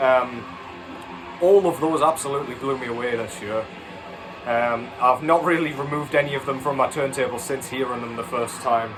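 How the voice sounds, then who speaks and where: A man speaks with ordinary pitch variation. Behind him, music plays. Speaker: vinyl record reviewer. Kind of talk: casual video review. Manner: fast; hesitant, many fillers.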